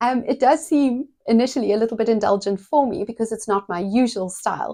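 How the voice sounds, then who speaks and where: Fairly quick in pace, a woman speaks at a fairly high pitch with a dark, mellow tone. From South Africa. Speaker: paediatric physiotherapist and podcast host. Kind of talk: podcast monologue. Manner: conversational with frequent fillers.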